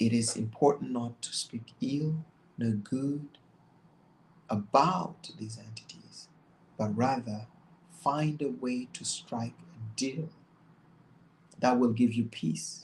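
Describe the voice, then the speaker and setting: Speaking very slowly with long, frequent pauses, a man has a medium pitch and ordinary pitch variation. His voice is somewhat breathy, and its loudness swings widely. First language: not English. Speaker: religious commentator. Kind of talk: bible study commentary. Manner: halting.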